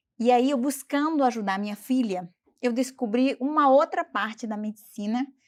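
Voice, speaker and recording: A woman with a non-native accent and ordinary pitch variation, in a very clean recording with a silent background. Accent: foreign speaker of Portuguese. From Bolivia. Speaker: doctor. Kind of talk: interview.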